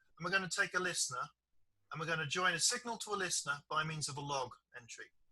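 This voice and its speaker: Talking at a very fast pace, this man speaks. He has a British accent. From Britain. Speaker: software developer and trainer. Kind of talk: online training session.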